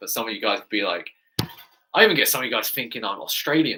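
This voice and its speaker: Animated tone in a British accent. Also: man. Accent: British accent, praised by viewers. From England. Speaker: fitness coach and YouTuber. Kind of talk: live stream Q&A chat.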